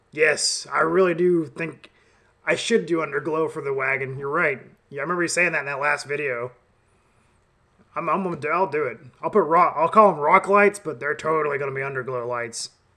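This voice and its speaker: Fairly high pitch for a man, with an American accent, ordinary pitch variation and a fairly quick pace. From US South. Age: 30s. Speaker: YouTuber, car enthusiast. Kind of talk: casual live chat with viewers. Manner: animated.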